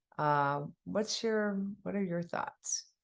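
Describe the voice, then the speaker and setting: A woman with an unremarkable speaking voice, ordinary pitch variation and a fairly slow pace. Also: quiet background. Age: 60s. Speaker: podcast host, doctor. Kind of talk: podcast interview.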